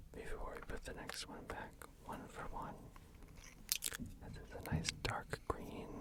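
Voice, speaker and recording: Long, frequent pauses break up a whisper that moves at a fairly slow pace against noticeable background noise. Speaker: ASMR artist. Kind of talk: ASMR art video. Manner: whispered, soft-spoken.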